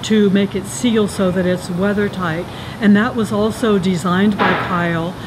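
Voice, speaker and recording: Fairly even intonation marks a woman's speech at a fairly slow pace. There is noticeable background noise. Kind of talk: casual vlog chat. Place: factory.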